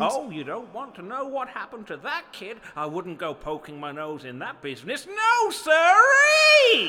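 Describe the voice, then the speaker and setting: With hardly any pauses, a man speaks in a raised, projected voice of extremely high pitch, his loudness swinging widely. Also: moderate pace. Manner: ominous, rambling, folksy.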